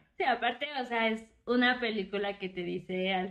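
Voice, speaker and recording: A woman speaks at a medium pitch with a normal speaking voice. Her intonation stays fairly even. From Oaxaca, Mexico. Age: 20s. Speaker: podcast co-host. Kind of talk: casual chat.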